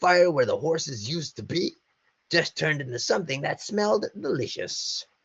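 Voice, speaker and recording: Pitched in the middle, the voice is a put-on character act. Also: moderate pace. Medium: read story. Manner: casual, joking.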